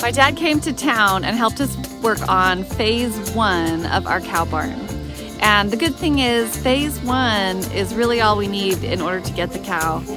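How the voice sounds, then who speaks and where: Over clear background music, a woman speaks at a fairly slow pace, the sound dry with no echo. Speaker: homesteader vlogger. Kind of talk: casual vlog chat. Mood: excited, hopeful. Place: garden. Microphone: phone near.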